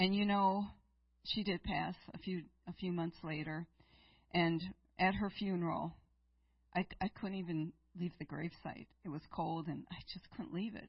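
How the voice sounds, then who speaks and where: Her fairly low, somewhat breathy voice keeps fairly even intonation as the woman leaves long, frequent pauses. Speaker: guest preacher. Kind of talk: sermon. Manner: unhurried.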